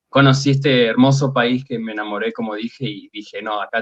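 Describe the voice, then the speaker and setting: A man speaks with an Argentine accent. His pace is fairly quick. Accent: Rioplatense Argentine Spanish. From Argentina, Buenos Aires. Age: 30s. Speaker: fantasy artist. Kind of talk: interview.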